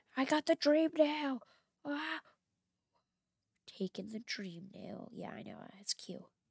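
Very slowly and with long, frequent pauses, a woman speaks at a fairly high pitch with very wide pitch swings, vocal fry and big swings in loudness. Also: dry, close sound with no echo. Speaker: gaming YouTuber. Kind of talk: gameplay commentary. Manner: reads game dialogue aloud.

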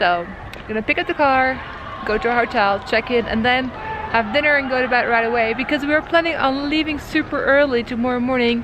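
Over noticeable background noise, a woman speaks at a high pitch and a fairly quick pace, with ordinary pitch variation and a dry sound with no echo. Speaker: travel vlogger. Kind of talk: casual vlog chat. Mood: cheerful and excited. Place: street. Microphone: phone near.

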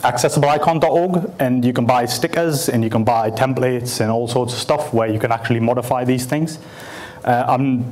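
A man's voice at a moderate pace, with very even loudness and ordinary pitch variation. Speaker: speaker. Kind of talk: conference talk. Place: hall.

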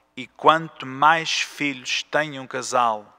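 Against a quiet background, a man with a bright, sharp tone speaks at a very slow pace with fairly even intonation. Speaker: priest. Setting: church. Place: church. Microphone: podium.

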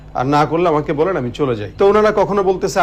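Noticeable background noise sits behind a man whose fairly high voice carries lively intonation. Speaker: Islamic preacher and gazal singer. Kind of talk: testimony.

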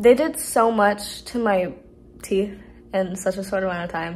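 A woman at a moderate pace, with ordinary pitch variation. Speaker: vlogger. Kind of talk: casual vlog chat. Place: home room. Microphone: phone near.

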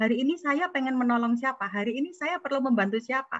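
The woman's intonation is lively. She talks at a very fast pace. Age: 40s. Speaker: entrepreneur. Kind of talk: webinar talk.

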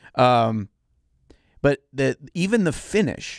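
Against a quiet background, a man speaks with lively intonation in a dry sound with no echo. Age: 40s. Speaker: miniature painting podcast co-host and YouTuber. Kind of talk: casual chat. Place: studio. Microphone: studio mic.

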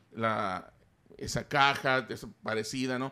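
A man's voice with a bright, sharp tone. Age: 40s. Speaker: Star Wars toy collector and YouTuber; YouTuber. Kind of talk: casual chat. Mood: relaxed, animated storytelling. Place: studio. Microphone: studio mic.

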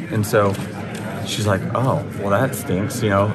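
Noticeable background noise around a man at a moderate pace. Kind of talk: interview answer. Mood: relaxed, some laughter. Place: hall. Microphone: handheld.

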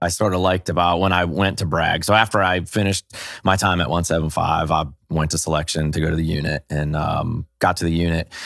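A man speaks at a fairly quick pace in a very deep, low voice with fairly even intonation. The sound is dry with no echo, and the background is quiet. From New England. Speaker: special operations veteran and pro bass fisherman; podcast guest. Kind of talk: casual chat. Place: home room. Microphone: studio mic.

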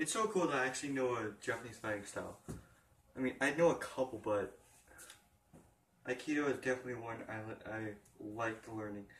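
A man with a medium-pitched voice speaks at a fairly quick pace, with ordinary pitch variation. He leaves long, frequent pauses, and background noise is noticeable. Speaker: gaming vlogger. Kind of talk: casual chat. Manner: halting.

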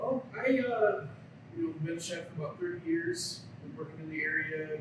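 A man's voice rings with strong room echo amid noticeable background noise. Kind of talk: interview answer. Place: kitchen. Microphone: camera far.

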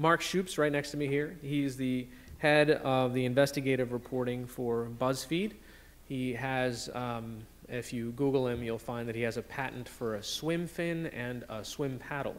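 Moderate pace and ordinary pitch variation from a male speaker. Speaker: panel moderator. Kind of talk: introductions to a live audience. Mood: light, joking. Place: hall. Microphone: podium.

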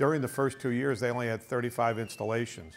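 A man speaks at a moderate pace. Faint music plays in the background. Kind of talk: interview explanation. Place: studio. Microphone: lapel.

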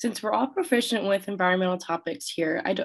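A woman's unremarkable speaking voice at medium pitch, fairly quick, with lively intonation. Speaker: university student presenter. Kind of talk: conference lightning talk.

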